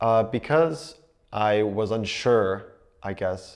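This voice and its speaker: Speaking in a Pennsylvania accent, a man uses a fairly low pitch. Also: very clean recording, silent background. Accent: American (Pennsylvania). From US (Pennsylvania), raised in Kent, England. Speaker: university student. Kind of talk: interview testimony. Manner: hesitant, with fillers.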